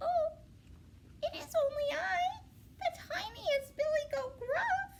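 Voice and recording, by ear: Pitched extremely high, a put-on character voice moves at a fairly slow pace with very wide pitch swings and long, frequent pauses.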